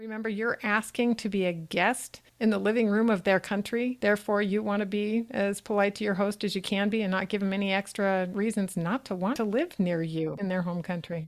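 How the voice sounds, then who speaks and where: A woman with an American accent and an unremarkable speaking voice talks fairly quickly at a medium pitch, with fairly even intonation and hardly any pauses. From US Pacific Northwest. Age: 60s. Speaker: podcast host. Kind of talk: scripted narration; casual interview.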